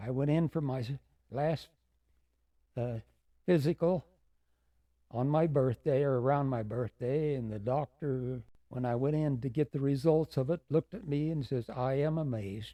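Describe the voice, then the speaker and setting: A man with an American accent speaks at a fairly high pitch in a dark, mellow tone, with ordinary pitch variation. His moderate pace is broken by long, frequent pauses, and the sound is dry and close with no echo. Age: 90s. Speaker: war veteran. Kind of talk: interview. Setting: studio. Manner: halting.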